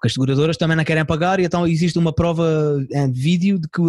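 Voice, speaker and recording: Delivered at a very fast pace with fairly even intonation, the speech has a dry, close sound with no echo. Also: man. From Portugal, Algarve. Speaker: comedian. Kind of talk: casual chat. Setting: video call.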